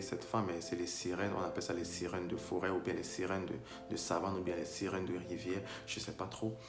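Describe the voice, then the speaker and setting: A man with a very deep, low voice talks at a very fast pace over music in the background. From Cameroon. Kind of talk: casual talk to camera.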